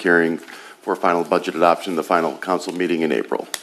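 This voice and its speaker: Against noticeable background noise, a man with a very deep, low pitch talks at a very fast pace in a monotone, flat intonation. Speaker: city manager. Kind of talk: council meeting presentation. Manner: formal.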